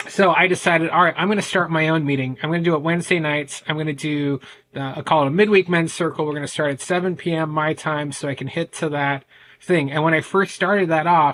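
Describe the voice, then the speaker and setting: A man speaks at a very fast pace. His pitch is fairly high and his intonation fairly even. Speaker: men's ADHD coach. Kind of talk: podcast interview. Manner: loud.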